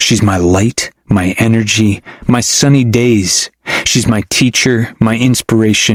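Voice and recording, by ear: With a quiet background behind it, the recording presents reading aloud in a natural voice.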